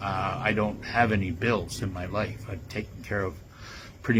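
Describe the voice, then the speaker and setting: A somewhat breathy voice carries audible echo from the room. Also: man. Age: 70s. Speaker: conspiracy commentator. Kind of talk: monologue. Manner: halting, many fillers.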